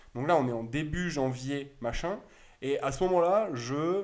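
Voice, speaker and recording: A man at a fairly slow pace, ordinary pitch variation, and audible room echo. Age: 20s. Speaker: retail stock investor. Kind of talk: casual explanatory chat. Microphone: sound problems in first 20 minutes.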